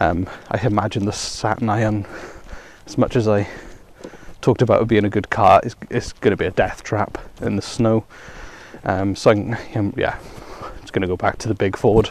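A man in a flat monotone, at a moderate pace, with long, frequent pauses and noticeable background noise. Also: fairly low pitch for a man. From Wales. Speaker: podcaster. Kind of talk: solo casual monologue while walking. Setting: outdoors walking dog, in snow and rain. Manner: rambling, chatty, humorous.

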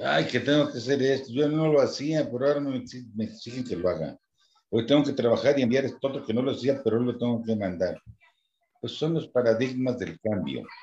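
A man with vocal fry talks at a fairly quick pace, his pitch varying in an ordinary way. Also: medium pitch for a man. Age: 70s. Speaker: church lay minister. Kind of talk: casual chat.

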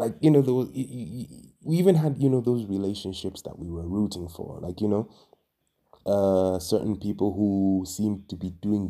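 A man's dark, mellow tone at a moderate pace. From Tanzania, Dar es Salaam. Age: 20s. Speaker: podcast host. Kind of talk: solo podcast monologue. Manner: halting, many fillers and repetitions.

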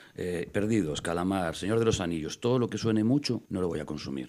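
A very fast pace, lively intonation and vocal fry on a very clean recording with a silent background. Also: man. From Galicia, Spain (Costa da Morte, Fisterra area). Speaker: actor and local councillor. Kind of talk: casual chat.

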